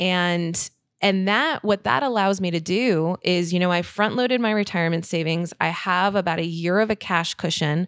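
In a very clean recording with a silent background and a dry, close sound with no echo, a woman speaks with a plain, everyday voice. Her pitch is fairly low with ordinary variation, her pace is moderate and her loudness very even. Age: 30s. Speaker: personal finance podcaster. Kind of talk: interview.

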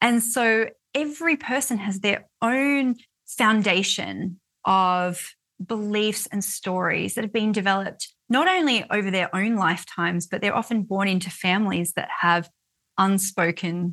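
A woman speaks at a fairly slow pace with an Australian accent, her pitch medium and her tone bright and sharp. Her pitch varies in an ordinary way over a quiet background. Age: 40s. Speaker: author and money mindset coach. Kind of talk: interview conversation.

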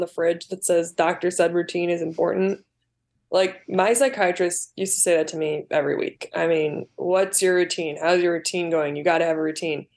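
An ordinary speaking voice from a woman with an American accent, fairly low in pitch, at a moderate pace with fairly even intonation, against a quiet background. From US Midwest, Chicago southwest suburbs. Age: 30s. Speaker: filmmaker and actor. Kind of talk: interview.

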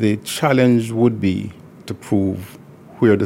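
The tone is dark and mellow, with vocal fry. The pitch swings very widely. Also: man. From Jamaica. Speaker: lawyer. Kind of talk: interview. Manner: soft-spoken.

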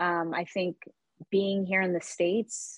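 A woman with a normal speaking voice talks at a medium pitch and a fairly slow pace. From Texas (Dallas), born in Yemen. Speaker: small business founder. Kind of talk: interview conversation.

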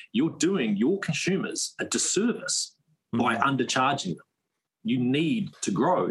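A fairly high-pitched man with a New Zealand accent, fairly slow, with very wide pitch swings and vocal fry. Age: 30s. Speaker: firearms company founder. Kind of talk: casual interview.

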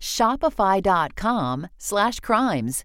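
Her medium-pitched voice shows vocal fry and very wide pitch swings. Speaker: ad voiceover. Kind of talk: sales pitch.

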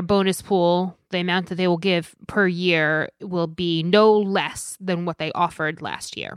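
A woman speaks at a medium pitch with hardly any pauses and fairly even intonation. It is a plain, everyday voice over a quiet background. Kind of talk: casual banter about legal news. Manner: teasing, dry humor.

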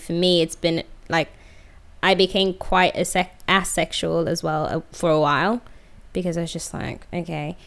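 A woman speaks with vocal fry at a fairly low pitch and fairly even intonation, on a very clean recording with a silent background. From Sweden. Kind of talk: casual chat.

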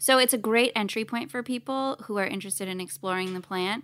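A woman at medium pitch talks very fast in a bright, sharp tone, on a very clean recording with a silent background. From Canada. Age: 30s. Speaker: cannabis brand co-founder. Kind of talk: casual interview chat. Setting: studio.

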